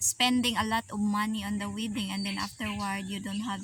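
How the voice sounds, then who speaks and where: Noticeable background noise around a woman's voice. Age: 30s. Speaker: vlogger. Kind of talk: casual chat. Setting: outdoors.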